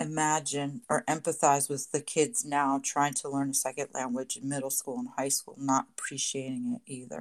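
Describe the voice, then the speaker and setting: Recorded very cleanly against a silent background, with a dry, close sound and no echo, a woman talks at a moderate pace in a very deep, low pitch with ordinary pitch variation. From Puerto Rico. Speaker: bilingual teacher. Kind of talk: casual chat.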